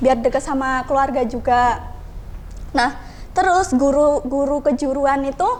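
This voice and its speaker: A woman's high-pitched voice at a fairly slow pace, with fairly even intonation, over noticeable background noise. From Indonesia, Bengkulu (Javanese-speaking community). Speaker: college student. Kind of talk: podcast interview.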